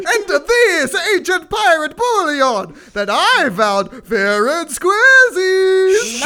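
A put-on character voice sits at an extremely high pitch with very wide pitch swings. The pace is very slow, with hardly any pauses. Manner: playful, theatrical.

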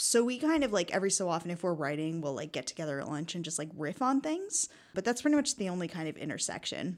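A woman with an ordinary speaking voice and an American accent talks at a fairly quick pace, fairly low in pitch, with lively intonation. The recording is very clean, with a silent background. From United States. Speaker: sketch comedian. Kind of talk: casual chat.

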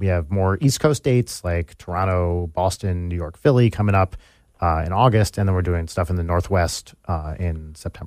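The man's voice sits at a very deep, low pitch, with ordinary pitch variation. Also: moderate pace, very clean recording, silent background. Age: 40s. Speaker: musician and YouTuber. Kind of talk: casual interview chat. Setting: studio.

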